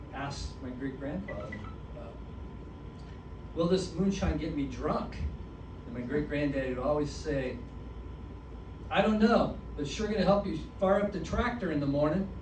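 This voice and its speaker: A man talks at a moderate pace with long, frequent pauses. There is noticeable noise behind him. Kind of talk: stand-up comedy set.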